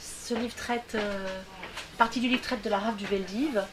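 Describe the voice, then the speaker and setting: A fairly high-pitched woman's voice with fairly even intonation over noticeable background noise. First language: English (speaking French). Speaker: novelist. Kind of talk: interview. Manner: hesitant, repeats words.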